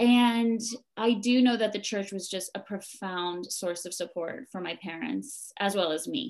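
A woman at a medium pitch and a fairly slow pace, with ordinary pitch variation against a quiet background. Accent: American. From New Jersey, US. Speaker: mindfulness teacher and temple co-runner. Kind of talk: interview conversation.

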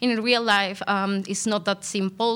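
Speaking with a Spanish accent, a woman keeps a flat, monotone intonation in a bright, sharp tone. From Colombia. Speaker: PhD law student. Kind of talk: academic interview. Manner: halting, many fillers.

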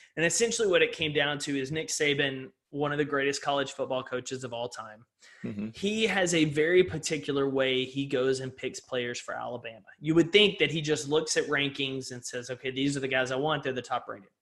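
An ordinary speaking voice comes from a man with an American accent, fairly high in pitch, with ordinary pitch variation, who speaks at a fairly quick pace with hardly any pauses. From East Texas. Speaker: motivational speaker and author. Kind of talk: podcast interview. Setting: video call.

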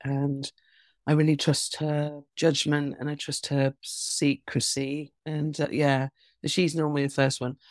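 A woman's very deep, low voice in an English accent, monotone and flat at a fairly slow pace, dry and close with no echo on a very clean recording with a silent background. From England. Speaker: author and performance poet. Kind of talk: casual interview.

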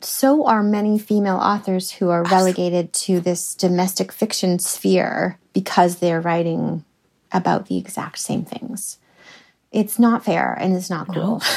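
A woman with a Canadian accent has an ordinary speaking voice at medium pitch. She talks at a moderate pace with ordinary pitch variation. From Canada. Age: 40s. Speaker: novelist. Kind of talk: interview.

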